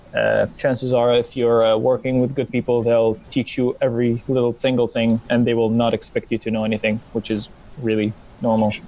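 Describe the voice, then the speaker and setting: With an American accent, a man speaks in a flat monotone at very even loudness over noticeable background noise. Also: medium pitch for a man, fairly quick pace. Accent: picked-up American accent, passable. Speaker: former anime club secretary. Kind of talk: casual podcast chat.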